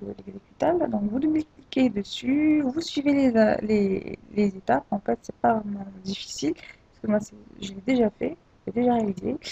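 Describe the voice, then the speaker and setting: Her loudness swinging widely, a woman speaks at a moderate pace with lively intonation and a fairly high pitch. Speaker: tech tutorial creator. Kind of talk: screen-recorded software tutorial. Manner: hesitant, many filler sounds.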